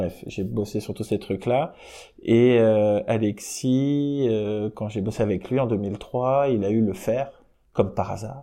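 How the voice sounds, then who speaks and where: A man of medium pitch speaks at a very slow pace. His pitch variation is ordinary, and the background is quiet. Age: 40s. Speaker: music industry program director. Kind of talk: interview. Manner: casual, hesitant with fillers.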